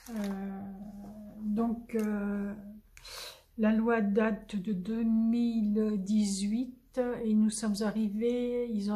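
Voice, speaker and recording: A woman speaks in a fairly high, monotone, flat voice. Audible room echo surrounds her. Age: 70s. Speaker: crafting youtuber. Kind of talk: casual chat. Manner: halting.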